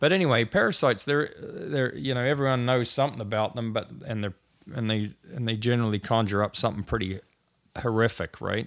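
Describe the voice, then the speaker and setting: A man talks fairly quickly at medium pitch, with ordinary pitch variation. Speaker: podcast host. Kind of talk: casual conversation about science. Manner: rambling, animated, uses filler words.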